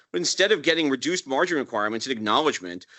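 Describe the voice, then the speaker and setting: This man's voice has vocal fry. His pitch swings very widely. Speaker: broker-dealer executive, roundtable panelist. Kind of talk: panel discussion. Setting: roundtable with live audience. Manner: formal.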